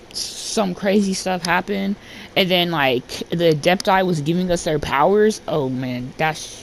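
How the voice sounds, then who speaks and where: A woman's fairly low voice with ordinary pitch variation, at a fairly slow pace over noticeable background noise. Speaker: gaming YouTuber. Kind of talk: casual gameplay commentary. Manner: animated.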